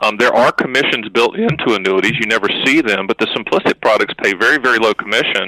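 A man with an ordinary speaking voice talks at a fairly quick pace with ordinary pitch variation, the sound dry and close with no echo. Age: 50s. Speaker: annuity agent and author. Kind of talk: podcast interview.

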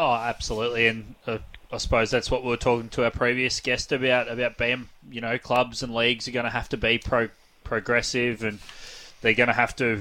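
Bright and sharp in tone, a man speaks at a fairly quick pace with an Australian accent. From East Gippsland, Victoria, Australia. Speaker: radio host. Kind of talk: radio interview.

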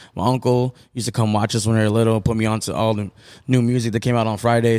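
On a very clean recording with a silent background, a man speaks very fast with an American accent. His pitch is medium and his intonation monotone and flat. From Tucson, Arizona (south side). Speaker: DJ and artist manager. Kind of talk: casual interview. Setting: on location at a restaurant.

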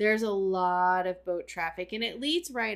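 In a very clean recording with a silent background, a woman speaks in an ordinary speaking voice of medium pitch with fairly even intonation. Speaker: podcast host. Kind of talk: casual chat.

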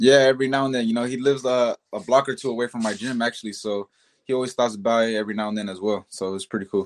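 A man's medium-pitched voice at a very fast pace, with fairly even intonation, in a dry, close sound with no echo and a very clean recording against a silent background. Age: 20s. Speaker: professional boxer. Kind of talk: interview.

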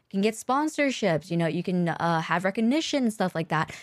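With a normal speaking voice, a woman talks at a fairly quick pace and with lively intonation on a very clean recording with a silent background. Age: 30s. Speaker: streamer and podcast co-host. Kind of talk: casual chat. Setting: live stream.

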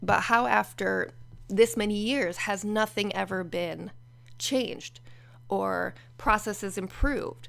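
A woman at a fairly slow pace in a very clean recording with a silent background. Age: 40s. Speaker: podcaster sharing personal therapy experiences. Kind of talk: personal monologue. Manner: casual, conversational with laughs.

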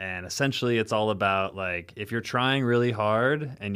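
This is a man with an ordinary speaking voice at a medium pitch and ordinary pitch variation. He talks at a fairly quick pace in a very clean recording with a silent background. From US Midwest, rural Illinois. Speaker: sommelier and wine bar owner. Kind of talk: casual chat.

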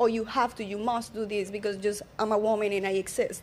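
A woman with a Colombian accent speaks at a moderate pace and a fairly high pitch. The recording is very clean, with a silent background. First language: Spanish. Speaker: social media coach. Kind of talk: casual panel chat.

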